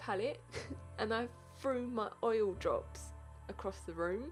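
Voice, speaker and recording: Music plays in the background as a woman mumbles. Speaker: beauty vlogger. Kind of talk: makeup tutorial narration. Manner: mumbling; casual, chatty.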